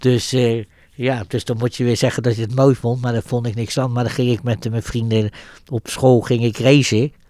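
Speaking at a moderate pace, a man uses a medium pitch and a dark, mellow tone with monotone, flat intonation. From Netherlands, The Hague. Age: 70s. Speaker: Holocaust survivor. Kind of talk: interview testimony. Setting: coffee room. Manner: hesitant, many filler words.

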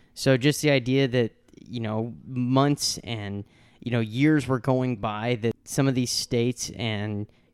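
A man with an American accent and a normal speaking voice talks at medium pitch, recorded very clean, dry and close, with no echo and a silent background. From US Midwest (St. Louis, Missouri). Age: 20s. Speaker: podcast host. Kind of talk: casual chat.

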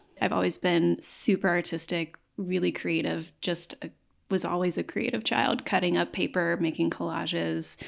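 Recorded very cleanly against a silent background, a woman with an American accent talks at a moderate pace. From East Tennessee, Knoxville. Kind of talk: interview conversation.

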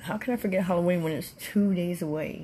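A somewhat breathy woman with ordinary pitch variation. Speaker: podcast host. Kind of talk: casual monologue. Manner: hesitant, many fillers.

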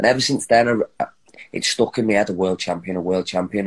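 A man with a Liverpool accent, fairly low in pitch, very fast, with fairly even intonation. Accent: Liverpool (Scouse). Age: 30s. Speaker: professional boxer. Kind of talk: interview.

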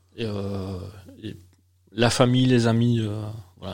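Speaking in a monotone, flat way at a medium pitch, a man is heard with audible room echo. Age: 40s. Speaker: beer sommelier and trainer. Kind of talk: interview and casual chat with tasting. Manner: hesitant, repeats words.

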